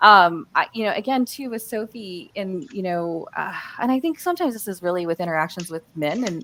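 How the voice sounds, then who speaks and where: A woman with an American accent talks very fast, with hardly any pauses. Her voice is fairly low and her intonation is lively. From US Midwest. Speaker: panelist on workplace communication. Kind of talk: live panel discussion. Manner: halting, many fillers and restarts.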